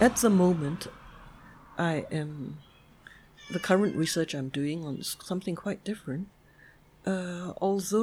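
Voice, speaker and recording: Somewhat breathy, a woman speaks at a fairly slow pace with a fairly low pitch and ordinary pitch variation. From Singapore. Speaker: sociologist and graduate school dean. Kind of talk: interview.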